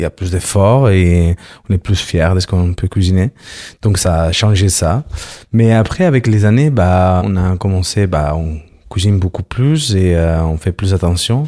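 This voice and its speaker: On a very clean recording with a silent background and a dry, close sound with no echo, a man speaks in a very deep, low, dark and mellow voice with ordinary pitch variation. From Barcelona, Spain. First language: Spanish or Catalan (speaking French). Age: 40s. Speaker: interviewee. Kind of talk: casual chat.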